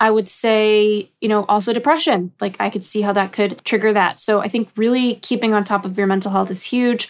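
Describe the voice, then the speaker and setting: With an American accent and a normal speaking voice, a woman talks at a fairly high pitch and a fairly quick pace, with fairly even intonation and hardly any pauses. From US West Coast, Los Angeles. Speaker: career coach. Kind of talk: interview.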